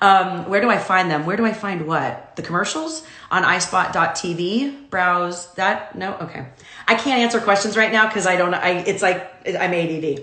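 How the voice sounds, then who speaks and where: In a room with audible echo and noticeable background noise, a woman talks at a moderate pace with a medium pitch and ordinary pitch variation. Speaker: commercial talent agent. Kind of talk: casual livestream talk. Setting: home, Instagram Live video. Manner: loud.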